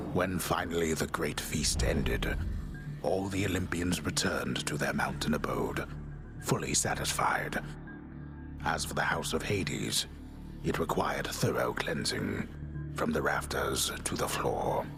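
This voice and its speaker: A man does a cartoonish character voice at a very deep, low pitch over loud music in the background. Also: moderate pace. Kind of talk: epic myth narration.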